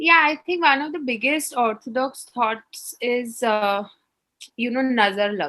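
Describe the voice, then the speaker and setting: A woman speaks at a fairly slow pace in a high pitch with a bright, sharp tone. Her intonation is lively. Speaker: entrepreneur and company executive. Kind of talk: interview. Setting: video call. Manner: warm.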